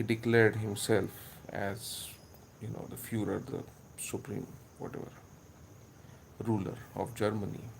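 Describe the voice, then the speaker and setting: A man with a Marathi Indian accent speaks in a fairly low, monotone voice with flat intonation at a moderate pace, leaving long, frequent pauses amid audible room echo. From India (Maharashtra). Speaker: history video maker. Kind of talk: casual commentary monologue. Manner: halting, many filler words.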